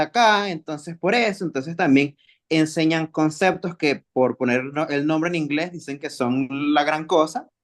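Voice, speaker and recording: Against a quiet background, a man with a Venezuelan accent speaks at a moderate pace in a high pitch with ordinary pitch variation. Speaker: kinesiology graduate, webinar attendee. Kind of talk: question in a webinar Q&A.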